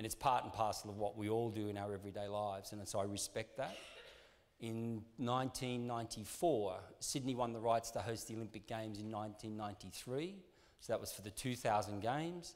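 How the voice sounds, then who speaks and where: A man with an Australian accent speaks at a fairly quick pace and fairly low pitch, his intonation fairly even, with audible room echo around him. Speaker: sports marketing executive. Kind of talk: conference talk. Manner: hesitant, many fillers.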